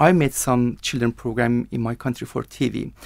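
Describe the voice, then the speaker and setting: An Iranian accent at a moderate pace. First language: Persian. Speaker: IELTS candidate, TV producer. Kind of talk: language exam interview. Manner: halting.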